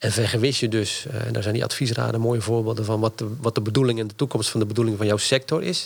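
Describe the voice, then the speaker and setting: Hardly a pause breaks this man's very fast delivery. He holds a medium pitch, and his intonation stays fairly even. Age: 50s. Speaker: university lecturer and strategy consultant. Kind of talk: interview.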